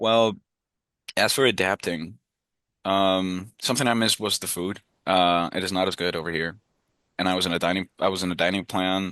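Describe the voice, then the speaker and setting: With a Spanish accent, a man speaks in a very deep, low pitch and a bright, sharp tone, his intonation fairly even. The background is quiet, and the sound is dry and close with no echo. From Peru. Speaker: university student. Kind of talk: interview.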